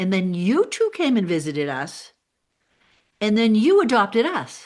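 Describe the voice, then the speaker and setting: Against a quiet background, a woman talks with very wide swings in pitch. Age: 60s. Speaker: podcast host. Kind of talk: casual interview.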